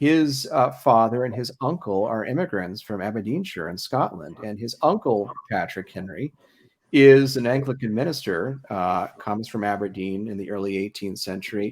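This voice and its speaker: Moderate-paced speech from a man with an American accent, very clean recording, silent background. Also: medium pitch for a man, lively intonation. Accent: slight Ohio accent, mostly suppressed. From Ohio. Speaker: historian and event host. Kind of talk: public history talk, conversational discussion. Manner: hesitant, frequent fillers and repetitions.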